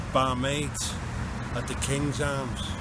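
Over noticeable background noise, a man speaks at a very slow pace in a dry sound with no echo. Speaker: spoken word poet and groundworker. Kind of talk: spoken word poetry performance, rhymed verse. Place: street. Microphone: phone near.

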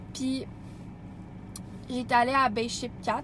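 Amid loud background noise, a woman speaks at a very slow pace in a dry sound with no echo. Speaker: vlogger. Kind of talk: casual vlog chat. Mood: enthusiastic, dreamy. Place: car. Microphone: phone near.

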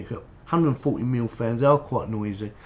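A man speaking at a moderate pace over light background noise. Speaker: tech reviewer. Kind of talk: tutorial. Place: home room. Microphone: camera far.

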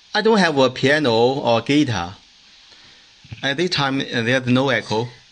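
A man talks slowly at a medium pitch, with lively intonation and a fairly bright tone. Audible room echo can be heard.

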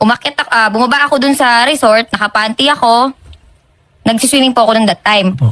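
A woman talks very fast in a fairly high, bright, sharp voice, with ordinary pitch variation and very even loudness. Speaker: complainant on a public service show. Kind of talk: personal complaint account.

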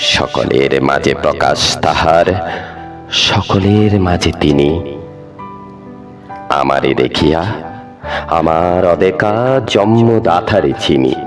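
A man with a very deep, low voice speaks in a lively, up-and-down way at a very even loudness, with music playing behind him. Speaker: poetry reciter. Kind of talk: poetry reading.

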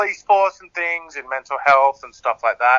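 With an Australian accent, a man speaks at a fairly high pitch and a moderate pace. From Australia, Sydney. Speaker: singer-songwriter. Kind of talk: interview.

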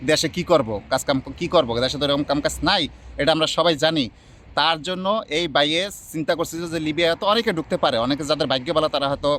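Fairly high in pitch, a man talks in an unremarkable speaking voice with ordinary pitch variation. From Bangladesh. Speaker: vlogger. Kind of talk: vlog interview.

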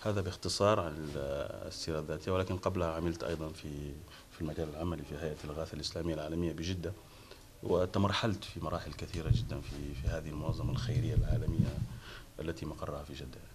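A man's very deep, low voice at a fairly quick pace, with ordinary pitch variation and light background noise. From Chad (born and schooled partly in Saudi Arabia, then Chad). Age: 40s. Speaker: university lecturer. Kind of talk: TV interview. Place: home room.

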